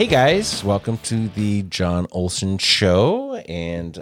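Music plays in the background as a man speaks at a very slow pace. His voice is fairly low, with ordinary pitch variation. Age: 50s. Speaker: podcast host. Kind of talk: casual interview.

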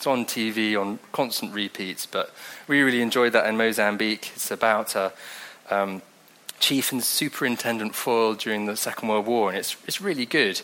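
Noticeable background noise sits behind a man speaking at a moderate pace in a medium pitch. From England, Devon. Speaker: preacher. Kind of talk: sermon. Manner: casual, conversational.

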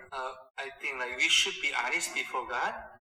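Someone with a Korean accent speaks at a moderate pace. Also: man. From South Korea. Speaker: pastor. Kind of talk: interview answers. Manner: halting, filler-heavy.

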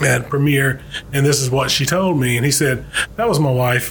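Noticeable background noise sits behind a man with a Southern US accent. He has a fairly high pitch and ordinary pitch variation. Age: 40s. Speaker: insurance agent and podcast co-host. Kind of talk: casual interview.

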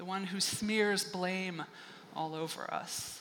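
A woman with a bright, sharp tone and medium pitch speaks at a very slow pace in monotone, flat intonation, with audible room echo. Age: 50s. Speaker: pastor. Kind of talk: sermon. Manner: conversational, with laughter.

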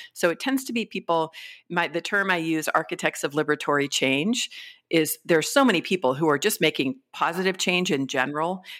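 A woman's normal speaking voice, fairly low in pitch, in an American accent with lively intonation at a fairly quick pace, on a very clean recording with a silent background. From California. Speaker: business strategist and author. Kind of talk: interview.

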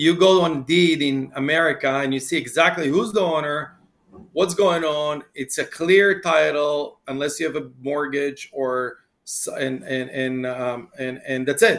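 This man has a plain, everyday voice, pitched fairly high. He talks at a fairly slow pace with ordinary pitch variation. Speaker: podcast host. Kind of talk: interview.

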